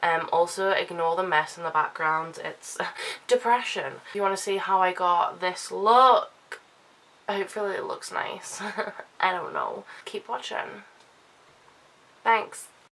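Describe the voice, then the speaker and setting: A woman speaks at a fairly slow pace, with long, frequent pauses. Noticeable noise sits in the background. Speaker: beauty vlogger. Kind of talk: makeup tutorial vlog. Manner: casual, chatty.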